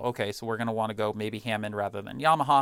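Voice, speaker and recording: A man with an American accent talks at a very fast pace at a medium pitch. The recording is very clean, with a silent background. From Rhode Island, US Northeast. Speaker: music sales engineer and musician. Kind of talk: interview conversation.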